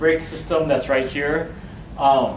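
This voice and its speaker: Male speech with noticeable background noise and audible echo from the room. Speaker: workshop presenter. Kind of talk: workshop lecture. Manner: loud.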